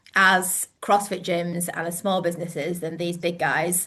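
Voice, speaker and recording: A woman with a northern English accent, medium pitch and a bright, sharp tone at a moderate pace, against a quiet background. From northern England. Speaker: gym owner and coach. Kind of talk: webinar presentation. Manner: hesitant, many fillers.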